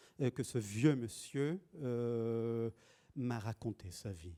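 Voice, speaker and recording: The man's medium-pitched voice has a dark, mellow tone and ordinary pitch variation, recorded with a dry, close sound with no echo. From Israel. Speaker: poet and translator. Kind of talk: public interview. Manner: halting, many hesitations.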